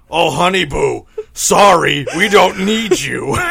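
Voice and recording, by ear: A man's gruff, shouting put-on character voice, high in pitch and at a fairly slow pace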